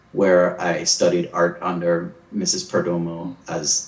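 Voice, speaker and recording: A man talks at a fairly slow pace, and noticeable background noise can be heard. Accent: American. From Belize City, Belize. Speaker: painter and actor. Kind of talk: interview. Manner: hesitant, many fillers.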